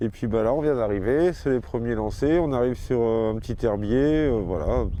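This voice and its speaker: A man of medium pitch keeps his loudness very even, heard with audible room echo and noticeable background noise. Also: ordinary pitch variation, moderate pace. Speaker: fishing video host. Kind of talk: outdoor vlog commentary.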